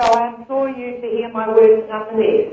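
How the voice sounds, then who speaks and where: With audible room echo, a woman speaks at a moderate pace and a fairly high pitch. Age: 60s. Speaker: medicinal cannabis patient advocate. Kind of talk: formal submission. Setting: phone call.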